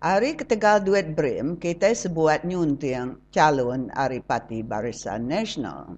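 With a Sarawak accent, the speaker moves through very wide pitch swings at a very slow pace against a quiet background. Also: woman. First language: Iban (speaking Malay). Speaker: radio commentator. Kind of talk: scripted commentary.

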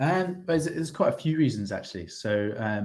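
A man with a British accent speaks at a moderate pace with ordinary pitch variation. The recording is very clean, with a silent background. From UK. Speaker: MBA student. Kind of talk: interview. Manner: halting, many fillers and repetitions.

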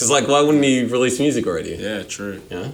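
A man with an Australian accent speaks at a medium pitch with lively intonation. Noticeable background noise is present. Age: 20s. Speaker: podcast host. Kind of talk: casual chat.

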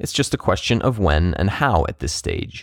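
A man's fairly low voice with vocal fry and very wide pitch swings, in a very clean recording with a silent background. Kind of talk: podcast hosting and interview.

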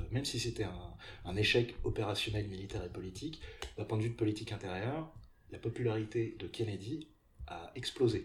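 A man is talking. His pitch sits fairly low. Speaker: podcast host. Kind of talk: casual chat; scripted narration.

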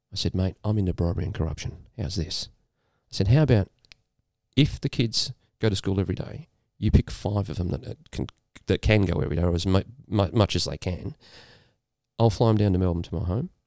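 A man with an Australian accent, very deep, low pitch, dark, mellow tone, ordinary pitch variation, long, frequent pauses, very clean recording and silent background. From rural New South Wales, Australia. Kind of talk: casual chat.

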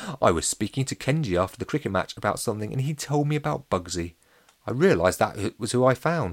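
With lively intonation, someone reads in a natural reading voice.

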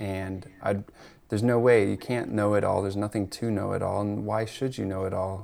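At a moderate pace, a man talks in a fairly low pitch with an ordinary speaking voice. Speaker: rewilding coach and ecology artist. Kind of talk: casual conversation.

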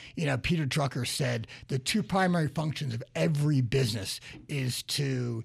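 A man talks at a medium pitch and moderate pace, somewhat breathy, with ordinary pitch variation. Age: 50s. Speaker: radio host, business coach. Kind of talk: radio talk show. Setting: radio studio.

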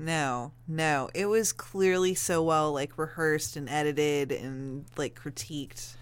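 A woman talks at a fairly slow pace with hardly any pauses, her pitch very deep and low with ordinary variation. The recording is very clean, with a silent background. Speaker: yoga trainee. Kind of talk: casual chat.

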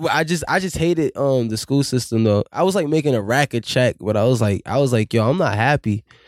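In a very clean recording with a silent background and a dry, close sound with no echo, an ordinary speaking voice with an American accent talks at a fairly quick pace with hardly any pauses, lively intonation and very even loudness. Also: man, medium pitch for a man. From Boston, Dorchester. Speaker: musician. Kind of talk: casual chat.

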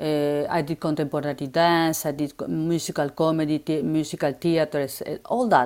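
The woman's voice is very deep and low-pitched, at a moderate pace with hardly any pauses and fairly even intonation, in a very clean recording with a silent background. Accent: Argentine. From Argentina, Buenos Aires. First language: Spanish. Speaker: former dancer and photographer. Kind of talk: interview. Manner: halting.

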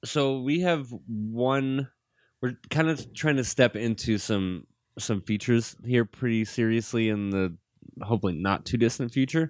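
Over a quiet background, a man with an American accent uses a normal speaking voice at medium pitch, fairly slow pace and ordinary pitch variation, the sound dry and close with no echo. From US Midwest (Gary, Indiana, near Chicago). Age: 20s. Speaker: filmmaker. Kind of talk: casual chat.

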